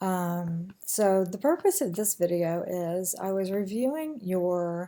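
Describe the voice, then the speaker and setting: In an American accent, a woman speaks at medium pitch with a dark, mellow tone on a very clean recording with a silent background. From US Midwest, rural Kansas. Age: 50s. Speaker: nursing instructor. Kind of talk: recorded course introduction. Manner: frequent ums and fillers; casual, conversational.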